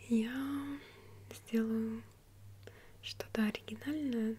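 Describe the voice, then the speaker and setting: There is light background noise as a woman speaks. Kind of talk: soft-spoken role-play chat. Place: home room.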